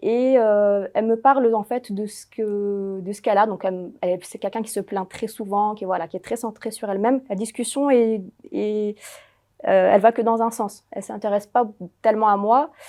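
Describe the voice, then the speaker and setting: A woman with a dark, mellow tone and fairly high pitch speaks at a moderate pace with fairly even intonation and big swings in loudness against a quiet background. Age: 30s. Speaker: home care aide. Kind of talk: interview. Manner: hesitant, many fillers.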